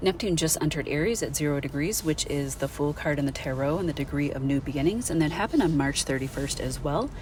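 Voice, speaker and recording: A woman with a very deep, low pitch talks at a very fast pace over noticeable background noise. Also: ordinary pitch variation, hardly any pauses. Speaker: astrologer. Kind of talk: monologue.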